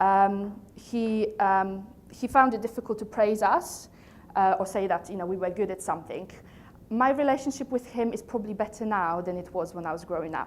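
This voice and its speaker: A woman with a Polish accent, medium pitch and ordinary pitch variation, at a moderate pace. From Poland. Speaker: coach and trainer, company founder. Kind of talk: motivational talk to a live audience.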